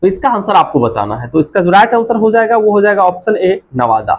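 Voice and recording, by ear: A man talks with a high pitch and big pitch swings. He goes at a fairly quick pace.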